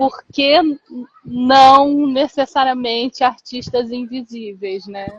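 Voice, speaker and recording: Speaking very slowly in a high voice with a Carioca accent, a woman keeps her intonation fairly even, and the sound is dry and close with no echo. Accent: Brazilian, Carioca. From Brazil, Rio de Janeiro. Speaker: literary translator. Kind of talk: casual chat. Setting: video call.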